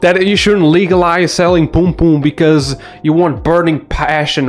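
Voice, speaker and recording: Over noticeable background noise, a man with a high pitch mumbles in an animated tone. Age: 20s. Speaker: commentary youtuber. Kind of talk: video commentary rant. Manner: mumbling.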